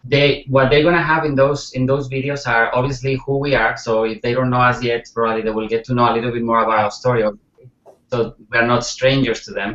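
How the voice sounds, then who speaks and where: With a Spanish accent, a man speaks fairly quickly at a medium pitch, keeping his intonation fairly even. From Spain. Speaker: network marketer. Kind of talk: interview.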